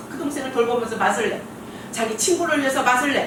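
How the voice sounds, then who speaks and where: A woman with a fairly high voice is heard amid audible room echo and noticeable background noise. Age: 60s. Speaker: pastor. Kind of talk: sermon.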